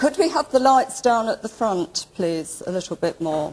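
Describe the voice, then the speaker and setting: Loud and with very wide pitch swings, a woman speaks over noticeable background noise. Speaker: archaeology lecturer. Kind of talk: lecture.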